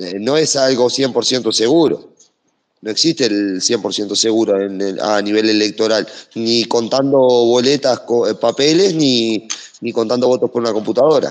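A medium-pitched man speaks at a fairly slow pace. His pitch variation is ordinary. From Uruguay, Brazilian border. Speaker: audience participant. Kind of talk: question from the audience. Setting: online audio room. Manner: halting.

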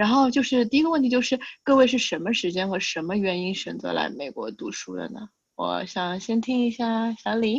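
Somewhat breathy and fairly high, a woman's voice moves at a moderate pace with lively intonation. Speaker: podcast host. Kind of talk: casual chat.

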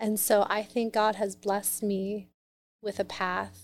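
At a very slow pace, a woman speaks at a medium pitch in a monotone, flat intonation. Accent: American. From US Midwest, Columbus, Ohio. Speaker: business coach and company founder. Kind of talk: interview conversation.

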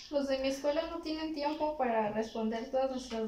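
Amid noticeable background noise, a woman talks at a fairly quick pace in a high voice with fairly even intonation. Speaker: guest. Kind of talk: casual chat.

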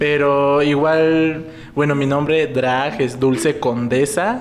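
Speaking at a very slow pace, a man with a fairly high voice uses ordinary pitch variation, with audible room echo and noticeable background noise. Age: 20s. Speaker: clinical psychologist and drag performer. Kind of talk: casual chat.

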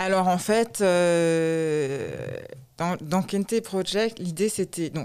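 A woman with a fairly low pitch talks with ordinary pitch variation. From France, Alsace (Strasbourg). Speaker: shoe designer. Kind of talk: interview.

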